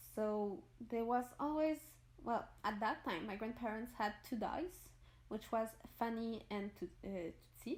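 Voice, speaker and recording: The speaker has a Quebec accent. Long, frequent pauses break up the speech. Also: woman, fairly high pitch for a woman, ordinary pitch variation, fairly slow pace. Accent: French Canadian accent in English. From Quebec, Montreal. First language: French. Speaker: gaming YouTuber. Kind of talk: casual voice-over storytelling. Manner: halting, searches for words.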